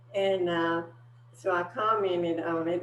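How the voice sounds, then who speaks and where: A woman talks at a fairly low pitch. Noticeable background noise and audible room echo surround her. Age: 70s. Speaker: weight-loss client. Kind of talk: testimony.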